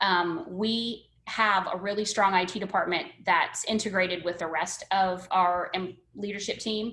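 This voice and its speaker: With an American accent, a woman speaks at a fairly slow pace and a medium pitch, her tone bright and sharp, her intonation fairly even, with hardly any pauses. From northern US. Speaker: education services presenter. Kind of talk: webinar presentation. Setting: video call.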